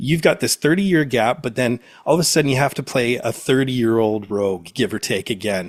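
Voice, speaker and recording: A man speaks in a normal speaking voice at a fairly quick pace and medium pitch, with lively intonation and hardly any pauses. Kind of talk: interviewer questions.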